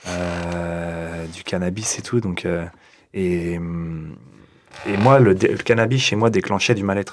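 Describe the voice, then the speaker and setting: At a very slow pace with long, frequent pauses, a man talks in a very deep, low pitch. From France, Rennes. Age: 30s. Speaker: artist, guest. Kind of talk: casual chat. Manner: hesitant.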